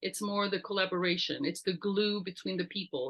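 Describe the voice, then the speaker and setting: With a French accent, the woman delivers her lines. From France. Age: 50s. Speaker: entrepreneur and network founder. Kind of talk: interview.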